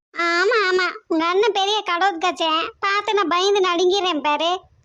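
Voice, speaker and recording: Using a cartoonish character voice, a woman speaks at a moderate pace with an extremely high pitch. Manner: sharp-tongued, scolding.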